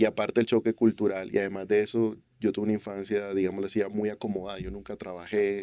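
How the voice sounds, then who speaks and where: A man speaks at a very fast pace in a monotone, flat intonation, his pitch fairly low. His tone is dark and mellow, with a dry, close sound and no echo. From Colombian Caribbean coast, Barranquilla. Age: 40s. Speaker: youth church leader and businessman. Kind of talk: testimony interview.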